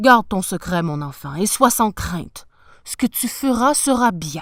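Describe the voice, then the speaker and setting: In a growling, put-on character voice, the speaker moves at a moderate pace with very wide pitch swings and big swings in loudness. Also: woman, medium pitch for a woman, very clean recording, silent background. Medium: read story.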